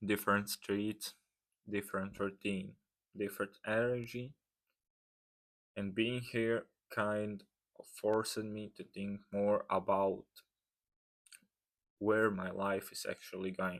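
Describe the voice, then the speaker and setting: The speaker, in a non-native accent, goes very slowly with long, frequent pauses and flat, monotone intonation. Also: man, fairly low pitch for a man. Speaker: fitness vlogger. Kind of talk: reading aloud. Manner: careful, reading from script.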